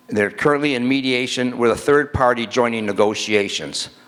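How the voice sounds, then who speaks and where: A man's medium-pitched voice with an American accent, moderate pace and ordinary pitch variation. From Michigan, Dearborn Heights. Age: 60s. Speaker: city council member. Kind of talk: council meeting speech. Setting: council meeting in a school, with audience.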